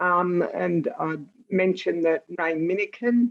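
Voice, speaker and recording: A woman's voice with an Australian accent. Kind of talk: online meeting update. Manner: quiet.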